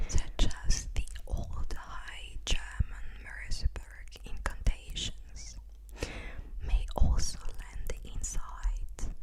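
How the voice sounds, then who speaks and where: A woman whispers very slowly against noticeable background noise. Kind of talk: ASMR sleep reading. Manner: soft-spoken.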